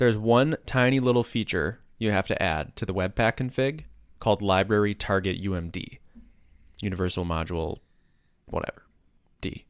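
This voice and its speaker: At a moderate pace and with ordinary pitch variation, a man speaks in a fairly low pitch, leaving long, frequent pauses. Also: very clean recording, silent background. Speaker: podcast co-host and programmer. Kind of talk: casual chat. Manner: goofy, animated.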